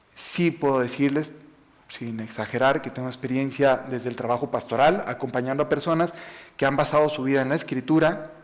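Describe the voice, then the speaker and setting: This man has a fairly high pitch and speaks with a Mexican accent. His intonation stays fairly even. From Mexico, Jalisco/Aguascalientes. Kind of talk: talk to an audience. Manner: fast.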